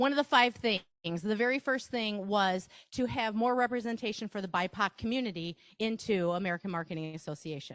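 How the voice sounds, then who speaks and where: Lively intonation in a Wisconsin accent at a fairly quick pace, on a very clean recording with a silent background and a dry, close sound with no echo. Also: woman. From Wisconsin, Reedsburg. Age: 50s. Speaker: marketing workshop presenter. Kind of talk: presentation to live audience. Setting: stage with audience, broadcast live. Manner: animated, talkative.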